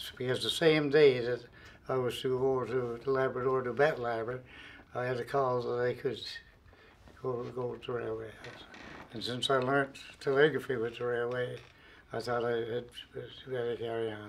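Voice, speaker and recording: A man of medium pitch speaks with a Newfoundland accent at a moderate pace, with monotone, flat intonation and long, frequent pauses. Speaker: retired railway worker. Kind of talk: interview testimony. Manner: halting.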